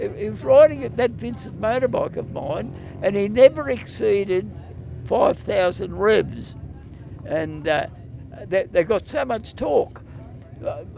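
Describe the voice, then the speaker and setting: Moderate pace from a man with an Australian accent. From Wangaratta, Victoria, Australia. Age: 80s+. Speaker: retired motorcycle road racer. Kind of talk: interview answer.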